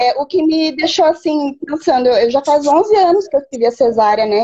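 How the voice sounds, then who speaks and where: Her high voice moves with lively intonation as this woman speaks. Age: 30s. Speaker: pregnant woman asking a question. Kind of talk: live Q&A conversation. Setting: video call on a live stream.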